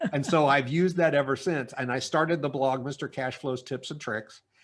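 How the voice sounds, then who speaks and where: This man has a normal speaking voice at a medium pitch, with fairly even intonation and a moderate pace. The background is quiet. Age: 60s. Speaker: business consultant. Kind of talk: interview. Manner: casual, with many fillers.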